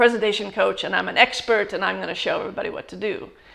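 With an American accent, a woman speaks at a fairly quick pace in a fairly high voice with a bright, sharp tone. The background is quiet. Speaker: executive communication coach and trainer. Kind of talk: interview answer. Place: home room.

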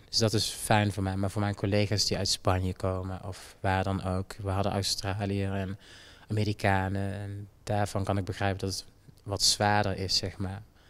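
A man's fairly low voice at a moderate pace, in monotone, flat intonation. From Jamaica. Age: 20s. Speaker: dancer. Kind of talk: interview. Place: hall. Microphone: handheld.

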